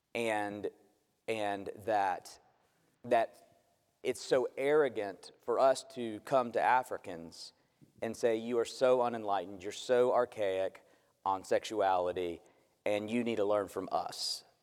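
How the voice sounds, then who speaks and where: Speaking at a fairly slow pace with long, frequent pauses, a man keeps fairly even intonation at a medium pitch. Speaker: conference speaker asking questions.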